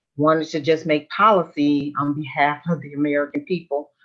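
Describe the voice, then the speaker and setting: A woman's very deep, low voice in a Southern US accent, moderate in pace, with monotone, flat intonation. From US South, Memphis, Tennessee. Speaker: military veteran and government policy official. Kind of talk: virtual panel discussion. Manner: conversational with many fillers.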